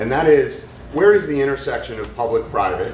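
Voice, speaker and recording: A man speaks at a moderate pace. Noticeable background noise and audible room echo are present. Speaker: business executive. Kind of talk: audience comment at panel. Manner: loud.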